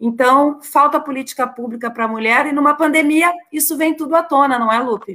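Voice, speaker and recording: A woman projects a raised, high voice with a bright, sharp tone. She speaks at a fairly quick pace with ordinary pitch variation. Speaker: state legislator. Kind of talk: casual political chat.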